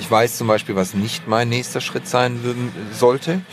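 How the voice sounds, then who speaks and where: A man speaks with music in the background. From southern Germany, Stuttgart area (Swabia). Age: 30s. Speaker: advertising creative director. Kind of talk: casual interview. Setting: football stadium box, outdoors.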